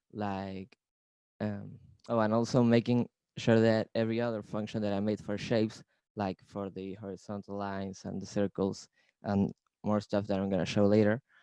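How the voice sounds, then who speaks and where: Against a quiet background with a dry, close sound and no echo, a man with a dark, mellow tone and a fairly low pitch talks at a moderate pace in a monotone, flat intonation. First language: not English. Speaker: creative coder presenting. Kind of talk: presentation. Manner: hesitant, many fillers.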